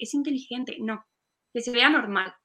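A woman with an ordinary speaking voice talks at a fairly quick pace, her pitch fairly high and its variation ordinary. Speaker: university student, event organizer. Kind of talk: casual interview on a live stream.

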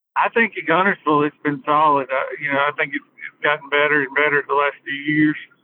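A man with an Alabama accent, fairly quick pace, hardly any pauses and fairly even intonation. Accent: Southern US (Alabama). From northern Alabama (Hartselle area). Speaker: fishing guide. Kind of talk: casual chat.

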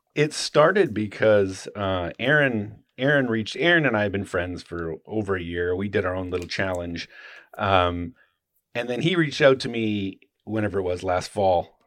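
With a quiet background, a man with an unremarkable speaking voice talks at a moderate pace, his fairly low pitch moving with lively intonation. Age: 50s. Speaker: knife maker and YouTuber. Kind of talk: casual chat.

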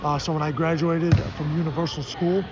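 A man with a fairly high pitch is heard in a space with audible room echo and clearly present background noise. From Chicago, US Midwest. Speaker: basketball coach. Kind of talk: interview. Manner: halting, many fillers.

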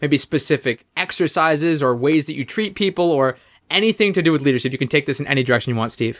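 Over a very clean recording with a silent background, a man talks at a very fast pace with ordinary pitch variation. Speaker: podcast host. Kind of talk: casual chat.

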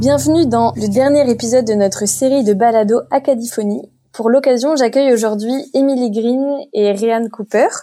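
A woman speaks at a moderate pace with a fairly high pitch, a dark, mellow tone and ordinary pitch variation. Her loudness stays very even. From France. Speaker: podcast host. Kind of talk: interview hosting.

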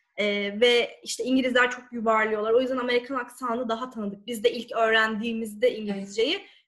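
At a fairly quick pace, a woman talks in a normal speaking voice with a fairly high pitch. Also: fairly even intonation. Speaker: lawyer and sworn translator. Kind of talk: talk on legal English.

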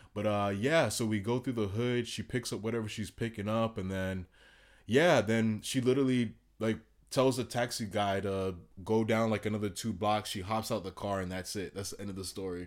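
A man with a Miami accent, fairly low in pitch, at a moderate pace, in a very clean recording with a silent background. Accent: Miami American English. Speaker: traveler. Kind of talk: casual chat. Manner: animated.

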